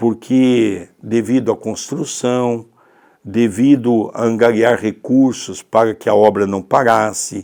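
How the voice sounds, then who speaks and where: Speaking at a very slow pace, a man with a medium-pitched, dark, mellow tone keeps his intonation fairly even in a very clean recording with a silent background. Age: 60s. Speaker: spiritist teacher. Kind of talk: religious study talk.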